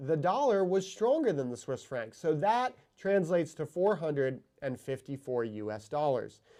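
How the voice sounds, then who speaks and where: With a dark, mellow tone and lively intonation, a man talks at a fairly slow pace against a quiet background. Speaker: watch show host. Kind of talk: casual chat.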